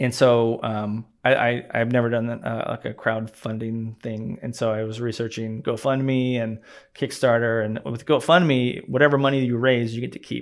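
Speaking at a moderate pace with hardly any pauses, a man uses a medium pitch and fairly even intonation. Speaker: documentary director. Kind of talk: casual interview conversation. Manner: hesitant, filler-heavy.

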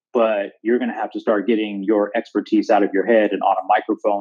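A man speaks in a fairly low register. The intonation remains fairly even. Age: 40s. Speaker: digital marketing agency owner. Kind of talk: casual interview. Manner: halting, frequent repetitions.

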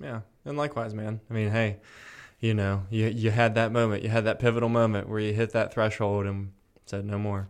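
On a very clean recording with a silent background, a man speaks at a fairly low pitch and fairly quick pace in a monotone, flat way. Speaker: podcast host. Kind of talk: casual chat. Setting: studio. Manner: joking, laughs often.

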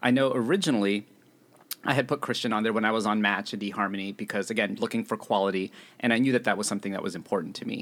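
A man delivers his words at a very fast pace. His pitch is fairly low. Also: fairly even intonation. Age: 30s. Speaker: dating app user. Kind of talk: casual chat.

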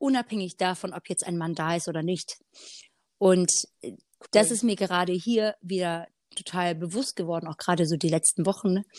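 The recording is very clean with a silent background and a dry, close sound with no echo. A woman with a fairly low pitch speaks at a moderate pace with ordinary pitch variation and long, frequent pauses. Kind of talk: casual faith conversation.

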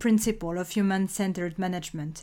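The recording is very clean, with a silent background. A woman speaks in a French accent. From France. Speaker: podcast host. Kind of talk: scripted solo podcast monologue.

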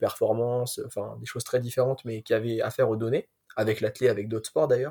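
In a very clean recording with a silent background, a man speaks fairly quickly in a somewhat breathy voice. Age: 20s. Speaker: sports science student and athletics stats enthusiast. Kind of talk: podcast interview.

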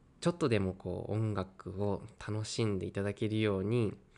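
A man's fairly low voice comes through with monotone, flat intonation. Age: 20s. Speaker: violinist. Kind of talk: interview; speech to online concert audience.

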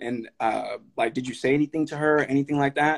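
In an American accent, a man with a normal speaking voice talks at a moderate pace and fairly high pitch, with fairly even intonation and a dry, close sound with no echo. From Sacramento area, California (grew up in North Highlands, from Stockton). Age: young. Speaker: podcast host. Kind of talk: casual interview conversation. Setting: live stream.

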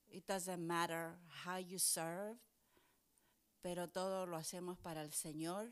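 A woman speaks at a very slow pace in a fairly low pitch. Her intonation is monotone and flat, with long, frequent pauses. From Chile, then New York from age 12. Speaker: pastor. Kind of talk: casual chat.

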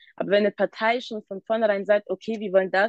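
A woman talks at a fairly quick pace in a plain, everyday voice, with fairly even intonation. The sound is dry and close with no echo. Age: 20s. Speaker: youth council member. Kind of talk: casual chat.

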